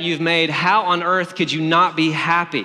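With a bright, sharp tone and high pitch, a man speaks at a moderate pace amid audible room echo. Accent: Southern US. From Alabama. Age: 30s. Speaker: pastor. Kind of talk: sermon.

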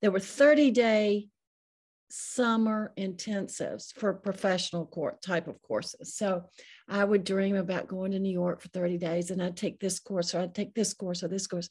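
A woman speaks in an American accent at a medium pitch and a moderate pace. Her voice is somewhat breathy, with fairly even intonation. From US South. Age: 60s. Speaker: author, memoirist. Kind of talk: interview chat. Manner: halting.

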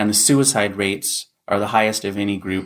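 An ordinary speaking voice from a man with an American accent, fairly low in pitch with ordinary pitch variation, at a moderate pace on a very clean recording with a silent background. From North Carolina, US South. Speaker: podcast host, documentary filmmaker. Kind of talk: podcast narration.

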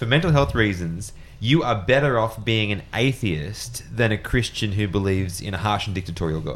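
With hardly any pauses, a man talks at a moderate pace in an ordinary speaking voice, fairly low in pitch and with lively intonation. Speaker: podcast host. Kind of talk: casual discussion.

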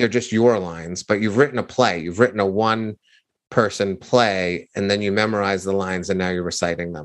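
A man speaks in a fairly low voice at a fairly quick pace. His intonation is fairly even, and the background is quiet. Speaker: author and storytelling coach. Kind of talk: interview. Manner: conversational, unscripted.

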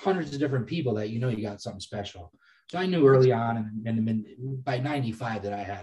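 Somewhat breathy, with a dark, mellow tone, a man with an American accent speaks at a medium pitch and a very fast pace. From Massachusetts. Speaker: cannabis breeder and cultivator. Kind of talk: casual interview.

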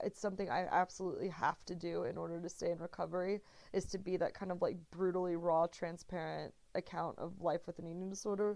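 At a fairly quick pace, a woman with an American accent speaks in an unremarkable speaking voice of medium pitch. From Texas. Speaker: writer. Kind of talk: interview.

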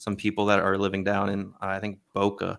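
Speaking in an American accent, this man holds a fairly low pitch with monotone, flat intonation. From Maryland, US (Baltimore). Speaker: NFT project creator. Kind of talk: casual interview.

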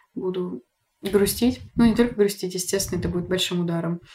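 A woman with an unremarkable speaking voice talks at a fairly quick pace. Her pitch sits in the medium range. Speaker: podcast host. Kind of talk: casual chat. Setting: at home. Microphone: poorer backup recording, quieter than guest.

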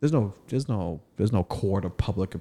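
A man with a dark, mellow tone talks at a moderate pace with very wide pitch swings, in a very clean recording with a silent background. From East Africa, raised in Boston. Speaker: comedian and podcast host. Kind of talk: casual chat. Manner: animated.

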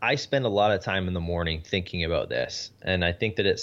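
A man speaks with a Canadian accent at a moderate pace. His pitch sits fairly low. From Canada. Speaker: podcast host and business consultant, former pro golfer. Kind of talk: interview.

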